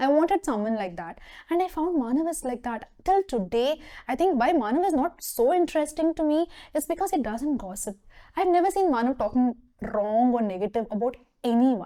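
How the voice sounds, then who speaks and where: A woman with a Tamil accent speaks at a fairly quick pace in a high pitch, her dark, mellow tone moving through very wide pitch swings. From southern India, Mysore, Karnataka. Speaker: HR professional. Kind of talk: interview talk show.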